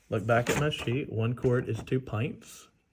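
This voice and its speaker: Somewhat breathy male speech at medium pitch and a fairly slow pace, on a very clean recording with a silent background. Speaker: math teacher. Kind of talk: tutorial. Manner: casual, halting.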